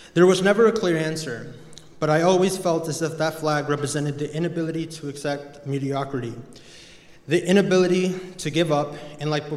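Audible room echo and noticeable background noise fill the recording. The voice moves at a moderate pace with fairly even intonation. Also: man. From Mexico. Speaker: college student. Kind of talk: speech. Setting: chapel with audience.

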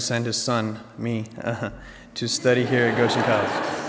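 Noticeable background noise runs under the recording. A man speaks in a flat monotone. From Iran, Tehran. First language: Persian. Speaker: college senior. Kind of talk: speech. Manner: formal.

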